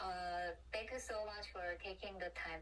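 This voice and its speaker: In a room with audible echo, a woman with a Korean accent talks at a moderate pace. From South Korea. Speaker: design student interviewer. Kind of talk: interview. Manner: halting.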